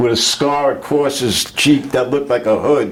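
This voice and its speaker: A man with a New York accent talks at a fairly slow pace in a medium pitch. Noticeable background noise runs under the recording. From Brooklyn, New York. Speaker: Navy veteran. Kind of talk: interview answer.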